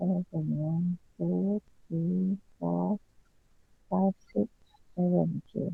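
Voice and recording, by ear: A slow, fairly low woman's voice with vocal fry, a slightly husky edge, fairly even intonation, and a dry, close sound with no echo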